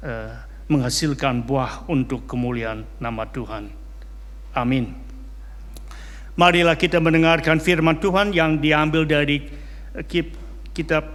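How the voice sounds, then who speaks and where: Long, frequent pauses break up a man's fairly slow speech. Audible room echo surrounds his voice. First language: not Indonesian (speaking Indonesian). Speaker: pastor. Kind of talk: sermon; reading aloud. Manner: halting, frequent fillers.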